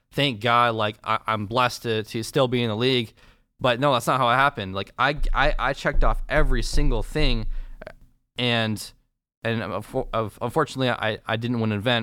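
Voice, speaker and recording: In a very clean recording over a silent background, a man with an American accent speaks at a moderate pace in a bright, sharp tone, medium in pitch, with fairly even intonation. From Michigan, Ann Arbor. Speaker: professional esports player. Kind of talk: casual interview chat. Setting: studio.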